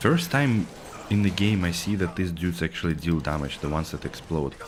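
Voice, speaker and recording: A man at a fairly quick pace against noticeable background noise. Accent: Russian. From Russia. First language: Russian. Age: 30s. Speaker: video game streamer. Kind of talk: casual chat. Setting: live stream.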